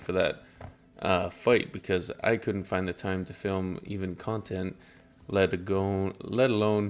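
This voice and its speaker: Music in the background behind a man with a very deep, low pitch, a fairly slow pace and fairly even intonation. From southern Alberta, Canada. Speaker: streamer and cosplayer. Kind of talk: casual live-stream chat.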